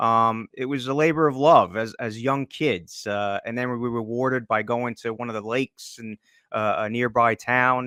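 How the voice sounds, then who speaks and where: A man with a New Jersey accent speaks at a moderate pace and medium pitch, his intonation fairly even and his tone bright and sharp. The sound is dry and close with no echo, a very clean recording with a silent background. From northern New Jersey, US. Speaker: hockey journalist and draft analyst. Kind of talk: podcast interview. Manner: halting, many fillers and repeats.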